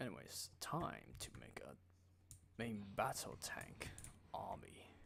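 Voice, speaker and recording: A man speaks quietly at a very slow pace. Audible room echo surrounds his voice. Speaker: gaming streamer. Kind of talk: live gameplay commentary. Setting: live stream. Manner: casual.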